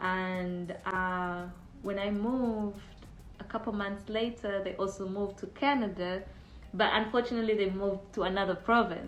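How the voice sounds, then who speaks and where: A woman at a medium pitch and moderate pace with fairly even intonation, audible room echo and music in the background. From Uganda. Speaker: immigrant sharing dating experience. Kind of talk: casual testimony.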